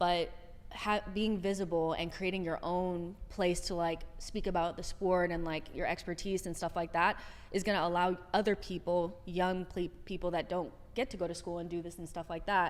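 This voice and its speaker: A woman with a Californian accent speaks at a moderate pace, her fairly low voice held in monotone, flat intonation. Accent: Californian American English. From Southern California. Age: 30s. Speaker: soccer content creator. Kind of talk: podcast interview.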